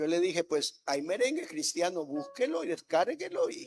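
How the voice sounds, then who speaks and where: Music plays behind a man who talks at a fairly slow pace. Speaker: pastor. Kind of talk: sermon. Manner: soft-spoken.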